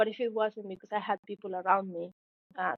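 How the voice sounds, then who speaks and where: Her intonation monotone and flat, a woman speaks in a medium pitch with a Spanish accent. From Mexico. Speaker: engineering graduate, tech intern. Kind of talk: podcast interview. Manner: halting, many fillers.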